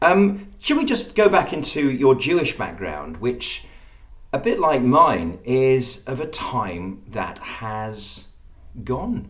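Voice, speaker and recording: A man with an English accent speaks very slowly at medium pitch, his pitch swinging very widely amid audible room echo. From England (Birmingham roots). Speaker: podcast host. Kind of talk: interview.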